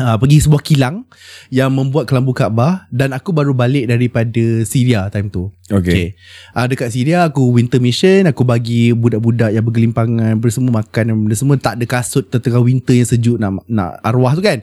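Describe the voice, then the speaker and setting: A man talks at a fairly quick pace in a medium pitch with ordinary variation. His tone is dark and mellow, and the sound is dry and close with no echo. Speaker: religious teacher and pilgrimage guide. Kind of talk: casual chat. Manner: animated.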